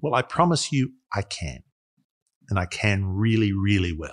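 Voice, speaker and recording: A man with an Australian accent, fairly low-pitched and somewhat breathy, with lively intonation and a dry, close sound free of echo. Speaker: investor, fund manager. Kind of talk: interview.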